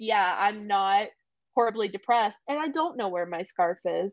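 Using a plain, everyday voice, a woman speaks at a fairly slow pace with lively intonation. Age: 20s. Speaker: podcast co-host. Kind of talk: casual chat.

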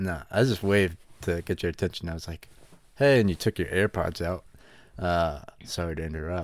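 A man with a very deep, low pitch and an American accent, moderate pace, ordinary pitch variation, long and frequent pauses, on a very clean recording with a silent background. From West Virginia. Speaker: podcast co-host. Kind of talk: casual chat.

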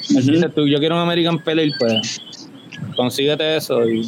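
Against noticeable background noise, a man speaks with very even loudness. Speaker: homebrewer and beer judge. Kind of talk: casual chat. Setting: remote call with headphones.

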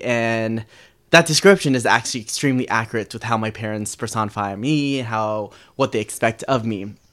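A man's unremarkable speaking voice at a medium pitch, with ordinary pitch variation and a fairly quick pace, on a very clean recording with a silent background. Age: 20s. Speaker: guest sharing coming out story. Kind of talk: personal storytelling interview.

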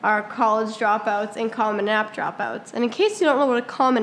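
This woman has a normal speaking voice, pitched fairly high. She talks at a moderate pace with ordinary pitch variation. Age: 18. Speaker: podcast co-host and substitute teacher. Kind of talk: casual chat.

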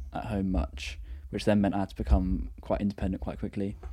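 A man with a southern English accent speaks at fairly low pitch. His tone is dark and mellow, with vocal fry. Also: very clean recording, silent background. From southern England, Brighton. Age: 20s. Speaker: university student, photographer. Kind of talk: casual chat.

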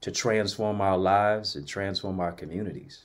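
In an American accent, a man speaks at a moderate pace. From Jamaica (raised by missionary parents), Detroit. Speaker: motivational speaker, author and college professor. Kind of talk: interview, testimony. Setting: livestreamed talk show.

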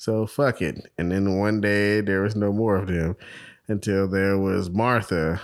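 In a very clean recording with a silent background, a man with an American accent uses a plain, everyday voice at a fairly low pitch, speaking at a fairly slow pace with very even loudness and fairly even intonation. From New York, the Bronx. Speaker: podcast co-host. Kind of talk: casual chat.

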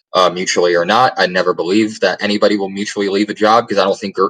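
At a very fast pace, a man speaks with a dry, close sound and no echo. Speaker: podcast co-host. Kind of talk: casual chat.

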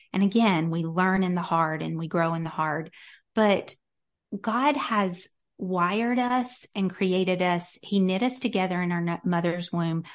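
A woman at a medium pitch, at a fairly slow pace with ordinary pitch variation, against a quiet background. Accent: slight Southern US. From US South, North Carolina. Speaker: author and Bible teacher. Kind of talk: casual interview chat.

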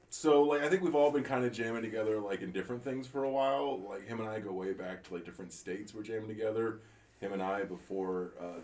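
Against noticeable background noise, a man with a fairly low pitch speaks at a fairly quick pace with ordinary pitch variation. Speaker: band member. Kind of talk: casual chat. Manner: casual, profane.

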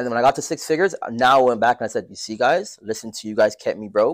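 Recorded very cleanly against a silent background, a man talks at a very fast pace with lively intonation, the sound dry and close with no echo. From Toronto, Canada. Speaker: entrepreneur and day trader. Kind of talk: casual interview.

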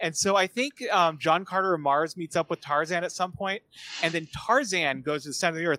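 A man's raised, projected voice, bright and sharp in tone, at a moderate pace, with a dry, close sound and no echo. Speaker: podcast host. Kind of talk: casual chat.

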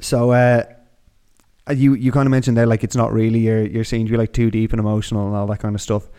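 With an Irish accent, a man talks at a very fast pace in a medium pitch, his tone dark and mellow and his intonation monotone and flat. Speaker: podcast host. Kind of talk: casual interview chat.

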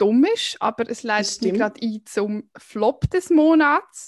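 Using a normal speaking voice, a woman talks at a fairly slow pace with a fairly high pitch and lively intonation, in a dry, close sound with no echo against a quiet background. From Switzerland, canton Aargau. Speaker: podcast co-host. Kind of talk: casual chat.

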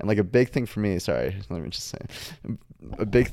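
The voice has a dark, mellow tone and a Midwestern American accent at a fairly quick pace. The recording is very clean with a silent background. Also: man. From Michigan, Detroit suburbs. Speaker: college student podcast co-host. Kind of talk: casual chat.

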